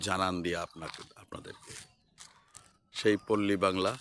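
A man with a fairly low voice and ordinary pitch variation speaks in a normal speaking voice. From West Bengal, India. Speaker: village vlogger. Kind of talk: walking vlog narration. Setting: outdoors.

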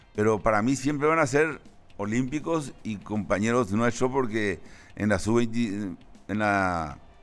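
With music in the background, a man speaks very slowly, his pitch varying in an ordinary way. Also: medium pitch for a man. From Paraguay. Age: 70s. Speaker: football coach. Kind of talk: interview.

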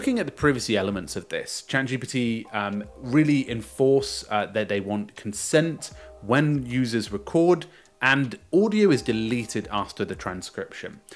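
A man talks fairly slowly while faint music can be heard in the background. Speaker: news presenter. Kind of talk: tutorial commentary. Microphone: studio mic.

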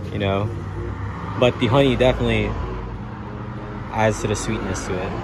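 Noticeable background noise sits behind a man talking at a fairly quick pace with ordinary pitch variation. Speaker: vlogger reviewing a cafe. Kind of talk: casual vlog chat. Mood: relaxed, upbeat. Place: street. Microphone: phone near.

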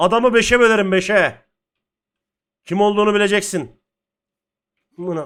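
A man talks in an animated tone, high-pitched for a man with ordinary pitch variation. He leaves long, frequent pauses. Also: moderate pace, very clean recording, silent background. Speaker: gaming streamer. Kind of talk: gameplay commentary.

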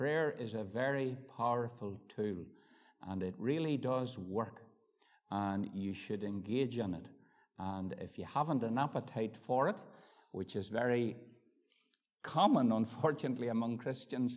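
A man talks at a fairly slow pace with ordinary pitch variation and long, frequent pauses. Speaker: preacher. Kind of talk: sermon. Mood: warm, grateful. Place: church. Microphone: lapel.

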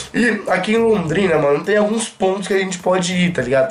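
Music plays behind a high-pitched man who speaks at a fairly quick pace with ordinary pitch variation. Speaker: gaming youtuber. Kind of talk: casual vlog chat. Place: home room. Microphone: camera far.

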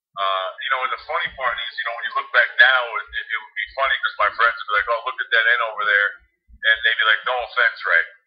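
A man speaks with a New Jersey accent. His pace is very fast. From New Jersey (Harrison, Hudson County). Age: 40s. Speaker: former pro football quarterback and sports analyst. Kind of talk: casual interview.

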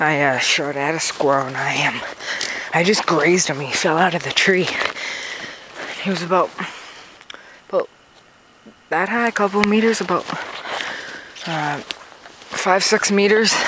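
Long, frequent pauses in a dry, echo-free sound with noticeable background noise. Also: moderate pace. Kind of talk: casual commentary. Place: forest. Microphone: phone near.

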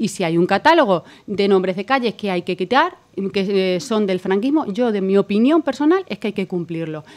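At a fairly quick pace, a woman speaks at medium pitch with lively intonation. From Extremadura, Spain. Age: 40s. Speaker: politician. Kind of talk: political debate. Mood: firm, argumentative. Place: studio. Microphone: studio mic.

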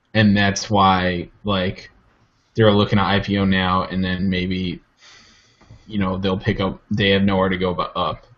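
Speaking at a fairly slow pace, a man with a fairly low pitch keeps a flat monotone. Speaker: tech podcast co-host; podcast co-host. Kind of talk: casual chat. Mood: relaxed, amused. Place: home room. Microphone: video call.

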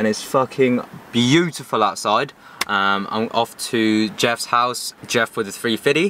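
The recording is dry with no echo and has light background noise as a man speaks at a very slow pace with ordinary pitch variation. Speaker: car vlogger. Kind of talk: casual vlog chat. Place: car.

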